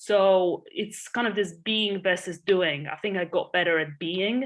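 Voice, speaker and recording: With a Polish accent and ordinary pitch variation, a woman speaks against a quiet background. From Poland. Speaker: entrepreneur and investor. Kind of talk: podcast interview.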